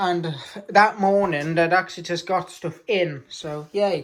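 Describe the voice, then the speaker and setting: British-accented female speech with ordinary pitch movement. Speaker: model railway hobbyist vlogger. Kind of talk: casual update vlog. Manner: loud, energetic; hesitant with many fillers.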